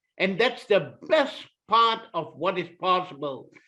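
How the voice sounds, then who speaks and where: A man with a Malaysian accent projects a raised voice with a bright, sharp tone. His pitch swings very widely. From Malaysia (Kuala Lumpur). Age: 60s. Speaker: author. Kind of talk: short inspirational talk.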